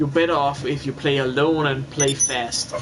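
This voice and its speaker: A man talks in a monotone with flat intonation over noticeable background noise. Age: 20s. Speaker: gamer streamer. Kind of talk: casual chat. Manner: halting.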